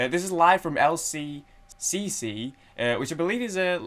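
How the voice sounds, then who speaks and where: A man with a Manchester accent and lively intonation. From Manchester, England. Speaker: music reaction youtuber. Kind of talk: casual chat. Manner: halting, many fillers.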